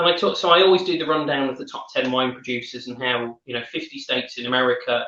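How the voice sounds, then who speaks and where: A very fast northern English accent with hardly any pauses, big swings in loudness and ordinary pitch variation. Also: man, fairly high pitch for a man. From northern England. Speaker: wine educator. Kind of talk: casual chat.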